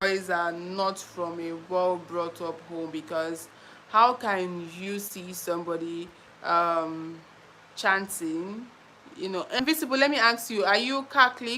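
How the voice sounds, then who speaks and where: Her tone bright and sharp, a woman speaks at a medium pitch and fairly slow pace with lively intonation and big swings in loudness. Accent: Nigerian. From Nigeria. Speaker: YouTuber. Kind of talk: live stream chat. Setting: live stream.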